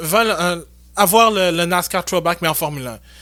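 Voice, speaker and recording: In a very clean recording over a silent background, a man speaks at a high pitch with a bright, sharp tone and fairly even intonation. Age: 20s. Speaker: podcast host. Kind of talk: casual chat.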